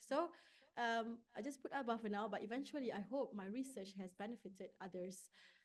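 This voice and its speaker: A woman talks at a fairly quick pace with a Malaysian accent. Her pitch is fairly high, with ordinary variation. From Malaysia, rural village. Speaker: neuroscience researcher. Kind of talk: conference talk.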